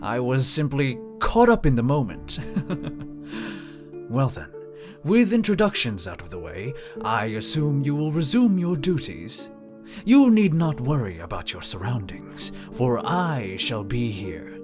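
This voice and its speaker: A man speaks in a put-on character voice at medium pitch, his pitch swinging very widely at a fairly slow pace, with clear music in the background. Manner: polite, formal.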